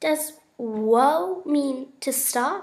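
A put-on character voice with a high pitch. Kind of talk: naive, questioning. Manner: surprised.

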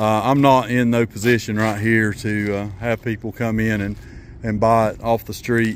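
Light background noise sits under a dry sound with no echo. A man talks at a moderate pace with monotone, flat intonation. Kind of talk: casual vlog chat. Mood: relaxed, pleased. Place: open country. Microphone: phone near.

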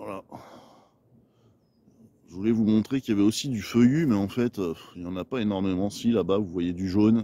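With a dark, mellow tone, a man speaks, pausing often and at length. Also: fairly low pitch for a man, ordinary pitch variation, fairly quick pace.

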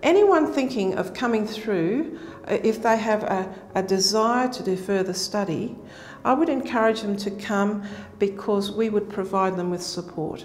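Light background noise sits behind a woman speaking at a moderate pace with ordinary pitch variation. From Australia. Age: 60s. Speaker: nursing lecturer and researcher; nursing lecturer. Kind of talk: interview testimony. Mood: calm, earnest. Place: hall. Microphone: lapel.

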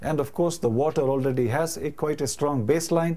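Dark and mellow in tone, a man's voice moves with ordinary pitch variation. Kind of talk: explanatory talk to camera. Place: home room. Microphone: lapel.

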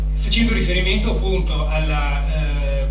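There is noticeable background noise and audible room echo around the man speaking. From Asiago plateau, Veneto, Italy. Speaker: writer and speaker on Rigoni Stern. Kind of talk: conference lecture. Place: hall.

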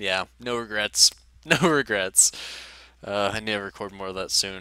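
A man with a fairly low pitch speaks in a bright, sharp tone, the sound dry with no echo over a quiet background. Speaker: gaming YouTuber. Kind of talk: personal vlog update. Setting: face cam video. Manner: halting; low-energy. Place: home room. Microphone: headset.

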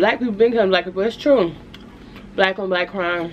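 Over light background noise, a woman talks with ordinary pitch variation. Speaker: food vlogger. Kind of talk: casual vlog chat. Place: home room. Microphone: phone near.

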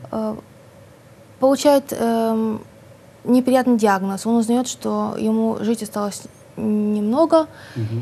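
Her pace is very slow. This woman pauses often, and the pauses run long. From Odesa, Ukraine. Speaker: writer. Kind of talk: interview. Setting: studio. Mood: relaxed, smiling. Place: studio. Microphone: lapel.

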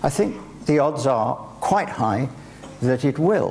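Over light background noise, the voice moves at a very slow pace with very wide pitch swings. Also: man. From Wales. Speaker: guest speaker in a public conversation. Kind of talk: public conversation. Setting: stage with audience. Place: stage.

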